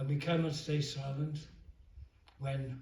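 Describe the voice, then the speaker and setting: Somewhat breathy, with a dark, mellow tone, a man speaks at a fairly high pitch and a very slow pace in a monotone, flat intonation. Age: 80s+. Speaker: film director. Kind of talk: public speech with consecutive interpretation.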